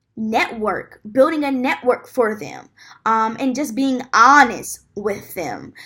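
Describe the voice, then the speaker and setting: In a raised, projected voice, a woman speaks at a fairly slow pace and a high pitch, her tone bright and sharp and her intonation lively, in a very clean recording with a silent background. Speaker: student presenting a class assignment. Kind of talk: class presentation. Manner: halting, many filler ums.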